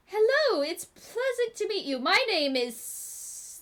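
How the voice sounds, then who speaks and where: A woman's put-on, squeaky character voice at an extremely high pitch, with very wide pitch swings, big swings in loudness and a fairly slow pace. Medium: actual play.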